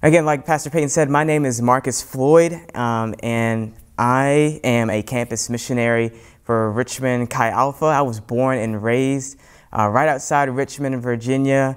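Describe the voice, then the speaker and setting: A man's fairly even intonation at a fairly slow pace, over a quiet background. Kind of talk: sermon. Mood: warm, earnest. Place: church. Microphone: lapel.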